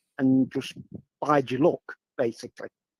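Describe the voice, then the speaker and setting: A man in an English accent, fairly high-pitched yet dark and mellow, monotone and flat, in a dry, close sound with no echo. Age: 60s. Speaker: guest. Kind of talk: casual chat. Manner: halting.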